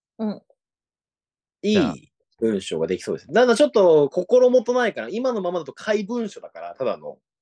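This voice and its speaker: A man's voice at a moderate pace with big swings in loudness, dry and close with no echo. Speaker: podcast host. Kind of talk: casual comedic chat. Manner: animated, laughs often.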